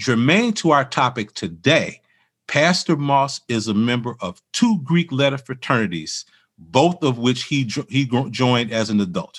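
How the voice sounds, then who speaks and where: Against a quiet background, a man with an American accent talks at a moderate pace in a plain, everyday voice, medium in pitch with lively intonation. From Chicago, US Midwest. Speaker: podcast host and minister. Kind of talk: interview and scripted reflection.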